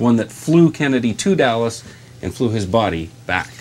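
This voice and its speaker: With an ordinary speaking voice, a man talks at a moderate pace in a medium pitch with lively intonation. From Southern Ontario, Canada. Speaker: TV news anchor and reporter. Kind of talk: live morning TV show reporter delivery on location.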